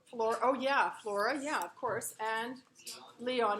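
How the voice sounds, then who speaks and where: Speaking loudly at a fairly slow pace, a woman with a fairly high pitch and ordinary pitch variation is heard with audible room echo. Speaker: literature instructor. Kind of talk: lecture. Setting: classroom. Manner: projecting loudly.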